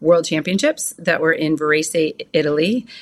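A woman with an American accent and a normal speaking voice, fairly low in pitch, with ordinary pitch variation at a moderate pace, on a very clean recording with a silent background. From western New York, US. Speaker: sports medicine doctor. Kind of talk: casual interview.

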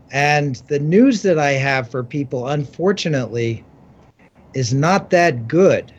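A man with a fairly high voice, somewhat breathy, speaks fairly slowly and varies his pitch in an ordinary way. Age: 60s. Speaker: author and science writer. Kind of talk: interview.

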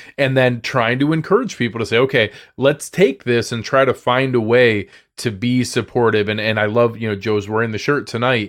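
An animated man at a moderate pace, with ordinary pitch variation. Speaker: sports podcaster. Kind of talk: casual interview chat. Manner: high energy, animated; distinct speech rhythms.

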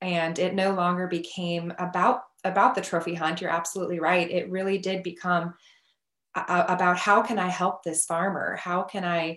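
A woman with a Midwestern American accent speaks at a moderate pace and fairly low pitch, her intonation monotone and flat. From Nebraska. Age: 30s. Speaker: ICU nurse. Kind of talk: casual chat.

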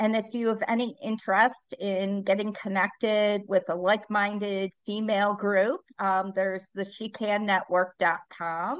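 A woman speaks fairly slowly in a medium pitch with fairly even intonation and hardly any pauses. She has a plain, everyday voice. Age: 60s. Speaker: leadership speaker and author. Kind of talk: interview conversation.

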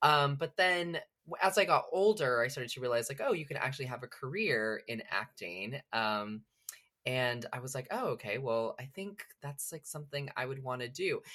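A man with a fairly high pitch speaks at a moderate pace, his tone bright and sharp and his intonation lively. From central California. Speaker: actor. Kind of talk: casual interview chat.

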